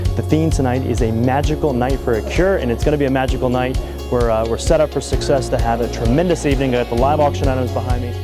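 Over clear music in the background, a man talks at a very fast pace with hardly any pauses. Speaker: benefit auctioneer. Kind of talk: casual talk to camera, interview answer. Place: hall. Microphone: lapel.

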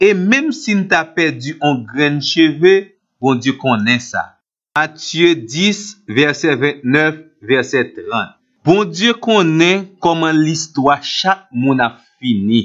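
A man speaks with a Haitian accent at a very slow pace. His pitch is fairly high. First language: Haitian Creole (speaking French). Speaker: Bible teacher. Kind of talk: scripted Bible teaching.

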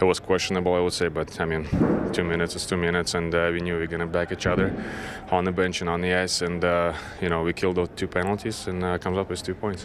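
Against noticeable background noise, a man speaks very fast in a very deep, low pitch with monotone, flat intonation. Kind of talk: interview answer. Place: hall.

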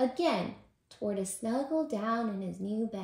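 Reading aloud in a natural voice, the intonation lively throughout

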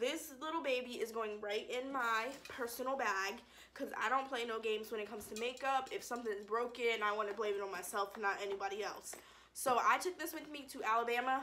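A woman's bright, sharp voice at a fairly quick pace, with ordinary pitch variation and light background noise. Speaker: vlogger. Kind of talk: casual vlog chat. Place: home room.

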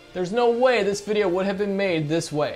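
A man talks with a high pitch and ordinary pitch variation. Faint music plays in the background. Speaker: online movie reviewer. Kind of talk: commentary. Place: studio. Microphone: lapel.

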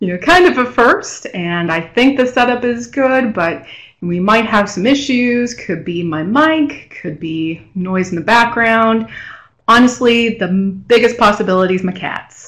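A woman speaks at a fairly slow pace with lively intonation. The background is quiet. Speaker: presenter. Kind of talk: webinar presentation. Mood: friendly, self-deprecating. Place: home room. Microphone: video call.

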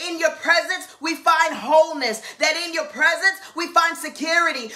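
A woman's raised, projected voice. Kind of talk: fervent live-stream prayer. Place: home room. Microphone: webcam.

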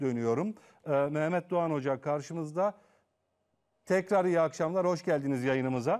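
An unremarkable speaking voice from a man, fairly high in pitch, with ordinary pitch variation, very even loudness and a moderate pace. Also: quiet background. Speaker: TV talk show host. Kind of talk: live TV interview. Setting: TV studio. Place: studio. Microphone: lapel.

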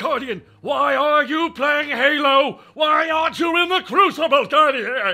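Shouting in a put-on character voice at an extremely high pitch, a man speaks at a fairly slow pace with hardly any pauses. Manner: imitated character voice.

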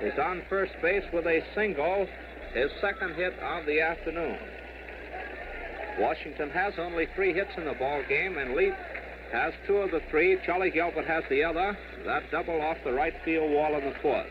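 A man speaks at a moderate pace in a high pitch. His intonation is fairly even, with noticeable background noise. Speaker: baseball radio play-by-play announcer. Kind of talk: live sports play-by-play broadcast. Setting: vintage radio broadcast recording, 1939. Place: stadium. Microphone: old recording.

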